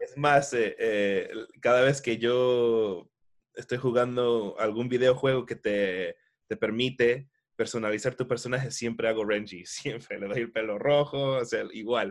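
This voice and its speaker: This man has an ordinary speaking voice at a medium pitch. He talks at a fairly slow pace. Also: fairly even intonation. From Miami, US, of Ecuadorian family. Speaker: voice actor and dubbing director. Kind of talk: interview.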